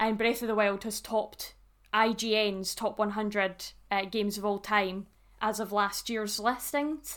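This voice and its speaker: A woman with a Scottish accent speaks at a fairly slow pace and fairly high pitch, her intonation fairly even, in a very clean recording with a silent background. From Scotland. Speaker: podcast co-host. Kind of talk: casual chat.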